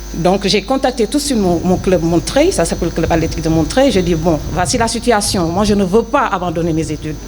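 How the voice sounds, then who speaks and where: Over noticeable background noise, a woman with a Senegalese accent speaks at a fairly low pitch with lively intonation. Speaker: former athlete, prison administration officer. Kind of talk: interview testimony. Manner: hesitant, many fillers.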